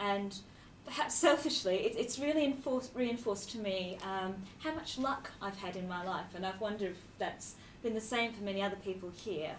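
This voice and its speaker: A woman with an Australian accent speaks at a moderate pace with lively intonation. The room echo is audible and background noise is noticeable. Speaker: charity executive. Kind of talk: speech.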